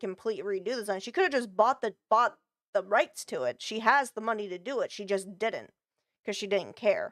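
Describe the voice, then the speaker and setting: In a very clean recording with a silent background and a dry, close sound with no echo, a woman speaks at a fairly high pitch and a moderate pace. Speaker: vtuber streamer. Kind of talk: reaction stream commentary. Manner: halting.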